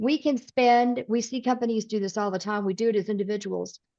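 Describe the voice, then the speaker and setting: A woman with a Southern accent speaks at a fairly high pitch against a quiet background. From US South (East Tennessee, Midwestern parents). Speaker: personality coach and speaker. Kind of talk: podcast interview. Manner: direct.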